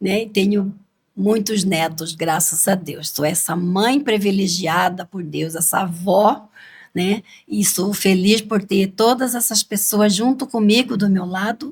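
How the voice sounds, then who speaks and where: Somewhat breathy, a woman speaks at a very slow pace and a medium pitch with ordinary pitch variation. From Brazil, Cuiabá (Mato Grosso). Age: 70s. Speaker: cultural group leader, grandmother. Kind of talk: interview.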